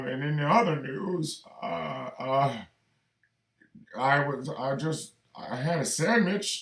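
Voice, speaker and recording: A man puts on a character voice with a fairly high pitch. He goes at a fairly slow pace, with long, frequent pauses. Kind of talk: stiff, formal newsreader. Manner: dry, hesitant.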